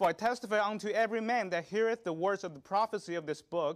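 The background is free of noise. A man talks fairly quickly. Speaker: lay preacher. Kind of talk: sermon. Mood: solemn, then prayerful. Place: church. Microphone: lapel.

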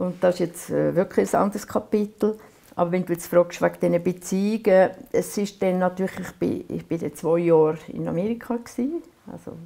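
In a Swiss accent, a woman talks at a moderate pace. Her tone is dark and mellow. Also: ordinary pitch variation. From Aargau, Switzerland. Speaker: painter. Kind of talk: oral history interview answer. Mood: calm, reflective, gently animated. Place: workshop.

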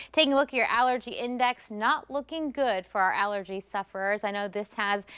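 A woman with a fairly high pitch speaks at a moderate pace in an upbeat, bright and sharp tone, using ordinary pitch variation over a quiet background. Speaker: TV meteorologist. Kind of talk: weather report. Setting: TV studio broadcast. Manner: conversational and upbeat, explanatory. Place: studio.

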